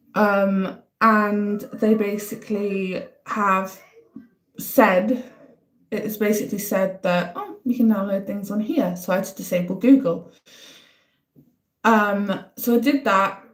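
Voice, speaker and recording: With a northeast English accent, a woman speaks at a medium pitch and very slow pace. Her intonation is fairly even, with long, frequent pauses. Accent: north-east English (Durham). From northern England, County Durham. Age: 30s. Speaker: livestreamer. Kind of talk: casual live-stream chat.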